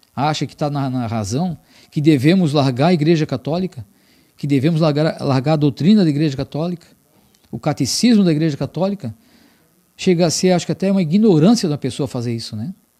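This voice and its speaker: Over a quiet background, a man with a dark, mellow tone speaks at a fairly quick pace with lively intonation. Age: 50s. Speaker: religious program host. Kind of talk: religious broadcast talk. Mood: earnest, firm. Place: studio. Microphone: studio mic.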